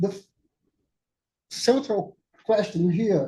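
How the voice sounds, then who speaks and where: Speaking at a very slow pace with a Portuguese accent, a man uses a high pitch and a dark, mellow tone, with ordinary pitch variation. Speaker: academic speaker. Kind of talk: conference talk. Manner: halting.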